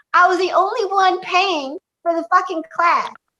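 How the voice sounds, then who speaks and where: The woman's pitch is extremely high, and her raised, projected voice has a bright, sharp tone. She speaks at a moderate pace. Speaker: stand-up comedian. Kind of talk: interview answer. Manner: casual, swearing, animated storytelling.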